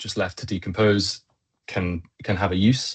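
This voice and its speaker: With a British accent, a man speaks at a moderate pace in a fairly low pitch, his intonation fairly even. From Britain. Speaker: engineer and company co-founder. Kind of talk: web chat presentation. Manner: many filler words.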